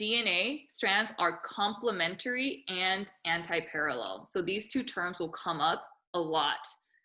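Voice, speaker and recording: Loud and lively in intonation, a woman speaks in a bright, sharp tone. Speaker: biology teacher. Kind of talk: lecture. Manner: talkative, casual.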